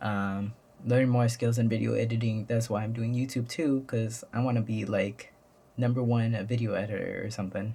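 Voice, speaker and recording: Speaking in a monotone, flat way, a man with a medium pitch has a dark, mellow, somewhat breathy tone. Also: moderate pace. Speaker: YouTuber. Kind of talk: casual vlog monologue. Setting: at home. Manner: halting, many fillers.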